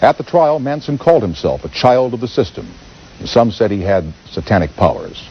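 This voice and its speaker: A man at a medium pitch and moderate pace, with very wide pitch swings and noticeable background noise. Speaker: TV talk show host. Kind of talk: TV documentary narration.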